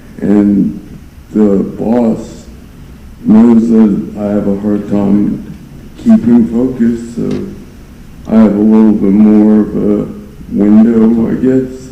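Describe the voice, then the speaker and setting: In a room with audible echo, a man with a fairly low voice talks at a very slow pace, in a monotone, flat intonation, with long, frequent pauses. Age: 40s. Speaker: defendant testifying in court. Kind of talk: court testimony. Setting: courtroom. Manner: halting.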